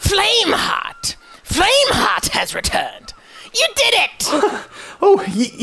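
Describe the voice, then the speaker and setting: A put-on character voice pitched extremely high. It moves at a very slow pace. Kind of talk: solemn pirate-cult zeal. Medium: machinima. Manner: fervent, formal, militant.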